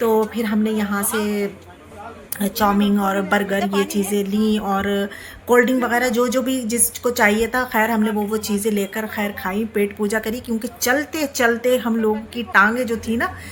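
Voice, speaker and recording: The intonation stays fairly even. Background noise can be clearly heard. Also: woman, fairly high pitch for a woman. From Rampur, Uttar Pradesh, India. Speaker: travel vlogger. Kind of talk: vlog narration. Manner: casual, conversational.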